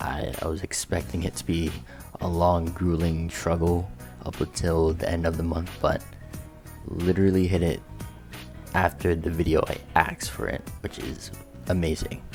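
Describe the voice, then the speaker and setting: Music plays behind a man with a very deep, low voice. He keeps a fairly even intonation and leaves long, frequent pauses. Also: moderate pace. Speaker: gaming YouTuber. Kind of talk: game build showcase narration.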